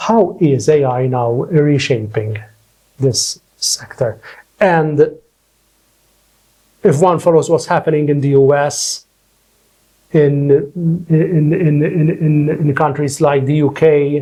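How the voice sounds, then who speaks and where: A man speaks very slowly with long, frequent pauses, his fairly high, somewhat breathy voice dark and mellow in tone, with ordinary pitch variation. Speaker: lawyer and academic, podcast host. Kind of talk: podcast interview host questions.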